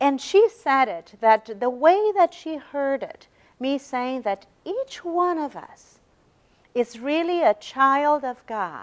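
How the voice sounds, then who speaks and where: A woman speaks very slowly in a high voice with a Brazilian Portuguese accent, her pitch swinging very widely. Her loudness rises and falls sharply, and the sound is dry and close with no echo. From Brazil, São Paulo. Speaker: religious lecturer. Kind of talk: lecture. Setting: university meeting room with audience. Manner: halting, repeats words.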